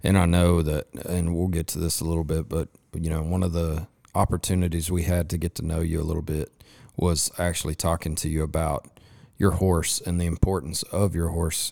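On a very clean recording with a silent background, a man with a very deep, low pitch and a dark, mellow tone talks fairly quickly in monotone, flat intonation. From West Texas (Lubbock). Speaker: podcast host. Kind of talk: casual interview chat; sponsor read. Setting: recording at a resort during a rodeo.

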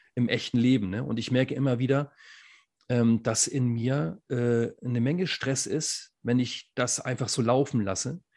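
In an ordinary speaking voice, a man talks at a fairly slow pace with a medium pitch and ordinary pitch variation. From northern Germany. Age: 40s. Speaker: podcast co-host, former teacher and coach. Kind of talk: casual chat.

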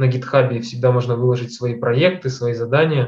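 A man speaks at a fairly quick pace with medium pitch. His intonation is fairly even and his voice somewhat breathy. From Kazakhstan. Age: 20s. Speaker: data scientist. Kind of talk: interview.

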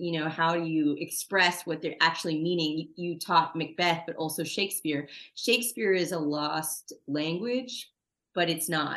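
A woman with a plain, everyday voice talks at a moderate pace. Her pitch is fairly low, with ordinary pitch variation. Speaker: podcast host. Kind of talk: casual interview.

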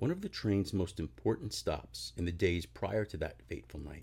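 The voice has vocal fry and moves at a moderate pace. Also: man. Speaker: podcast host reading aloud. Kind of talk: ghost story telling, read aloud in a hushed, spooky narrator style. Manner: self-deprecating, casual, slightly halting at the end.

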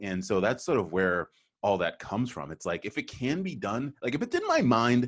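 A man with an unremarkable speaking voice, lively intonation and a fairly quick pace, against a quiet background. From Boston. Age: 40s. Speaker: sales recruiting firm founder and podcast host. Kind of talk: casual interview conversation.

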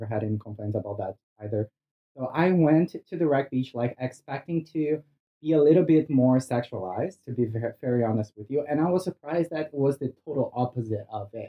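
Lively intonation runs through this voice with a Brazilian accent. The pace is fairly quick. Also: man, medium pitch for a man. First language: Portuguese. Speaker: cannabis industry worker. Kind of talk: casual chat. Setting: sitting on host's bed at home. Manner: loud.

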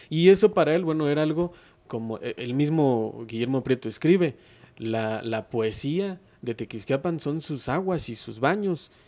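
A man with a fairly high voice and a dark, mellow tone speaks at a fairly slow pace. His intonation is lively, with big swings in loudness. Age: 30s. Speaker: writer and local historian. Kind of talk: interview.

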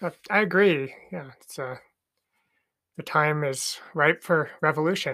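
Speaking at a fairly slow pace with long, frequent pauses, the voice comes with an American accent on a very clean recording against a silent background. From rural Idaho. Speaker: podcast co-host, leftist activist. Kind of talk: casual chat.

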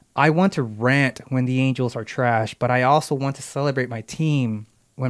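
In a very clean recording with a silent background, a man speaks in a normal speaking voice at a medium pitch and moderate pace with fairly even intonation. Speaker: podcast host. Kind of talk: casual podcast chat. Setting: studio.

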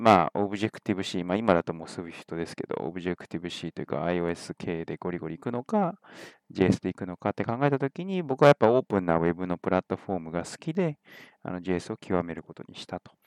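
A man talks at a fairly quick pace in a very deep, low pitch. His loudness swings widely. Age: 30s. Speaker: podcast host and tech company CEO. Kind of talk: solo podcast monologue. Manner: casual with many fillers.

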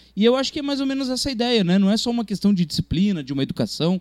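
A man speaks at a very fast pace with very wide pitch swings. The very clean recording has a silent background and a dry, close sound with no echo. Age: 30s. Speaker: film critic. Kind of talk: casual chat.

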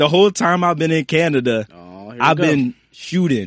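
A man at a fairly slow pace, in a dry, close sound with no echo. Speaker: actor and music producer. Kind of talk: casual chat.

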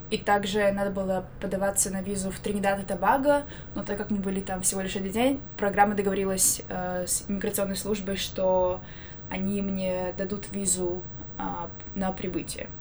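In a flat, monotone delivery, a woman speaks amid noticeable background noise and audible room echo. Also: medium pitch for a woman, moderate pace. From Belarus, Minsk. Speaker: university student. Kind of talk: casual chat. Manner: hesitant, many fillers.

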